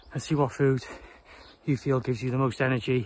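Somewhat breathy and flat in intonation, the voice moves at a very fast pace in a dry sound with no echo. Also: man. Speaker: trail runner vlogger. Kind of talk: casual vlog chat. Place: open country. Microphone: phone near.

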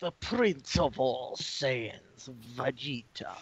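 A put-on character voice in a low-to-middle pitch at a very slow pace. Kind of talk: dramatic announcer-style. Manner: theatrical, vampire-like.

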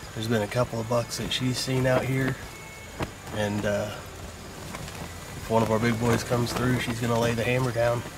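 A man's moderately paced speech comes through noticeable background noise. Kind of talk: casual vlog chat. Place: tent. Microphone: phone near.

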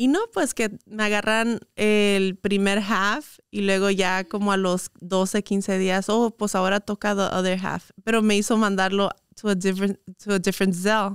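A woman speaks at a fairly slow pace with hardly any pauses, very even loudness and a monotone, flat intonation, in a dry sound with no echo over a quiet background. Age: 20s. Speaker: influencer and entrepreneur; influencer. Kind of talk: casual interview chat. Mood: relaxed, open storytelling. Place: studio. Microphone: studio mic.

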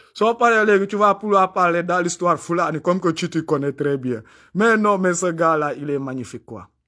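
A man talks at a moderate pace in a high pitch with a bright, sharp tone. His pitch varies in an ordinary way over a quiet background. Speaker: YouTube commentator. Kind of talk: live monologue. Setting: livestream. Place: home room. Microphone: phone near.

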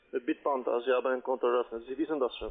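Talking at a fast pace, a man uses medium pitch with vocal fry, a slightly husky edge and fairly even intonation.

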